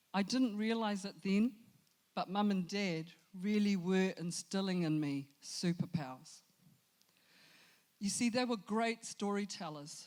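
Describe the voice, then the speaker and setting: A woman with a New Zealand accent speaks at medium pitch and a fairly slow pace. Her speech has long, frequent pauses. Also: ordinary pitch variation. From New Zealand, Christchurch, Samoan family. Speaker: storyteller. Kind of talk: motivational talk.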